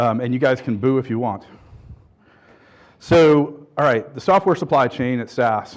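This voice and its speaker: A man at a medium pitch, with ordinary pitch variation and long, frequent pauses. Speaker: conference speaker, software pipeline architect. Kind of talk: conference keynote talk. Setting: stage with audience. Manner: fast.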